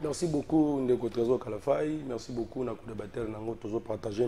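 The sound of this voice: Ordinary pitch variation comes with a fairly quick pace and a dark, mellow tone. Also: man.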